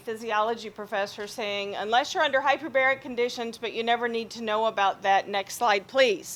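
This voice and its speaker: Her pitch fairly high, a woman talks with fairly even intonation. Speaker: surgeon and hyperbaric physician. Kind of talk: lecture.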